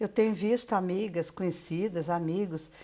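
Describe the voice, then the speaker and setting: With a very clean recording and silent background, a woman speaks at a fairly low pitch with ordinary pitch variation. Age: 60s. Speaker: retired teacher and author. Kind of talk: live stream talk. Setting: Instagram live. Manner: halting, many fillers.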